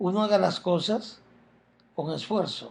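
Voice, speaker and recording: A man's high-pitched voice at a very slow pace. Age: 60s. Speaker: self-help speaker. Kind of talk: motivational talk.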